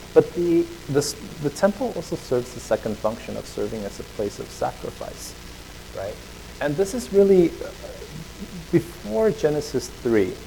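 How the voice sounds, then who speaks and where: A man with long, frequent pauses and big swings in loudness, amid noticeable background noise. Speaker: preacher. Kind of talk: sermon. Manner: fast; casual, filler-heavy.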